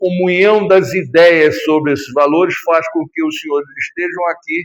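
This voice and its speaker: A man speaks at a high pitch with lively intonation. His pace is fairly slow. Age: 70s. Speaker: spiritist lecturer. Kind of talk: lecture. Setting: small spiritist center hall with audience.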